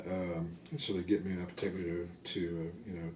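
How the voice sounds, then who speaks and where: Audible room echo surrounds a man whose voice sits at a very deep, low pitch. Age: 60s. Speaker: army veteran. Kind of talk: oral history interview. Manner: hesitant, many fillers and repetitions.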